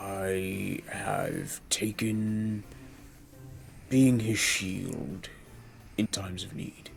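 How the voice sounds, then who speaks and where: Putting on a character voice, a man talks at a very slow pace with long, frequent pauses and a fairly low pitch, over clear background noise. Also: ordinary pitch variation. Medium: actual play. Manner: formal, measured.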